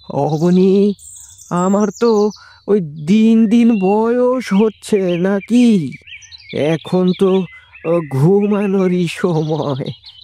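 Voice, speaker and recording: A cartoonish character voice at a middle pitch speaks at a very slow pace. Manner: drowsy, grumbling grandfatherly.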